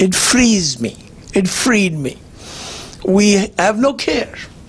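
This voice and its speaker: Noticeable background noise sits under a man whose intonation is lively. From India. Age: 70s. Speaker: cancer survivor speaker. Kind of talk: personal testimony talk.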